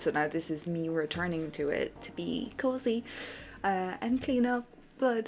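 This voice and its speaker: With an Irish accent, a woman talks at a moderate pace in a fairly low pitch, her voice swinging very widely in pitch against noticeable background noise. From Ireland. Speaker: gaming streamer. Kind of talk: casual chat. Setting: live stream. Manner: animated.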